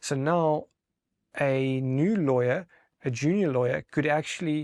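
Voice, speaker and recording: A man with a non-native accent speaks at a medium pitch with ordinary pitch variation, in a very clean recording with a silent background and a dry, close sound with no echo. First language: not English. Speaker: technology expert. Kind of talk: interview. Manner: halting.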